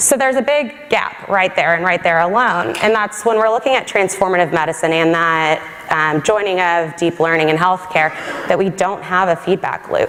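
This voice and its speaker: Over noticeable background noise, a woman speaks with very even loudness. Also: medium pitch for a woman, lively intonation, moderate pace. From Texas. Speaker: government science policy advisor. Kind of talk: conference talk.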